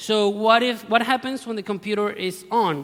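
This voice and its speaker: Speaking in an Argentine accent, a man talks at a moderate pace. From Argentina. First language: Spanish. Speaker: security researcher. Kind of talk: conference talk. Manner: halting, self-correcting.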